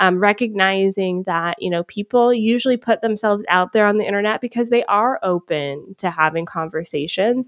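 At a moderate pace and with ordinary pitch variation, this woman has an unremarkable speaking voice, recorded dry and close with no echo against a quiet background. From US South, Atlanta, Georgia. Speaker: social media strategist. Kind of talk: interview.

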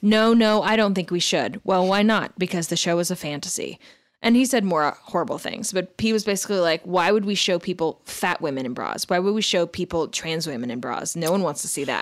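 A woman's plain, everyday voice at a fairly quick pace, with lively intonation and hardly any pauses, on a very clean recording over a silent background. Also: medium pitch for a woman. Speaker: podcast host. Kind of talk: casual chat.

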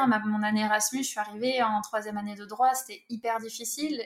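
A woman speaks at a very fast pace in a fairly high pitch. Her intonation is monotone and flat. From southwest France. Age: 30s. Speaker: author and football-club language teacher. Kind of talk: interview.

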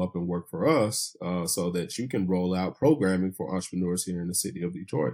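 Dark and mellow in tone, the voice races at a very fast pace with hardly any pauses, in an American accent on a very clean recording with a silent background. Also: man. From Tennessee, US South. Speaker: tech entrepreneur. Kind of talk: casual interview.

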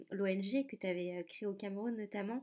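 Here is a plain, everyday voice at a moderate pace. Its intonation stays fairly even. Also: woman. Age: 20s. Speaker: podcast host, press officer. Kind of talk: interview.

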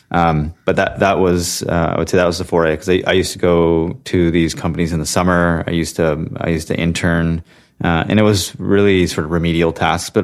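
With a Californian accent, a man talks at a fairly quick pace in a very deep, low pitch and a monotone, flat intonation. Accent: Californian American. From US West Coast, Santa Clara, California. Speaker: venture capital investor. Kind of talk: interview. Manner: halting with frequent fillers.

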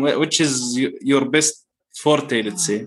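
A man with an ordinary speaking voice talks at a fairly high pitch and a moderate pace. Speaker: podcast host. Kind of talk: casual interview chat.

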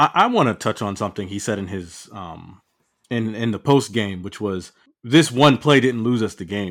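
A man with an American accent has a plain, everyday voice at a fairly low pitch, with ordinary pitch variation and big swings in loudness. He speaks at a moderate pace in a very clean recording with a silent background. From New Jersey (Piscataway). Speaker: college football podcast guest. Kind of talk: casual chat.

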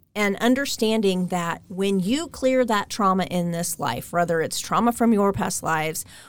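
In a very clean recording with a silent background, a woman with an American accent speaks at a fairly slow pace and medium pitch, in an unremarkable speaking voice. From US Midwest, Kansas (Derby, Wichita). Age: 40s. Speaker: energy healer. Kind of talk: interview.

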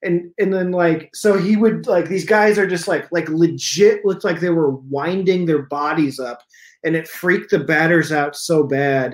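At a moderate pace, a man with an American accent talks at a high pitch on a very clean recording with a silent background. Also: ordinary pitch variation. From eastern Iowa. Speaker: stand-up comedian. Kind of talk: casual chat.

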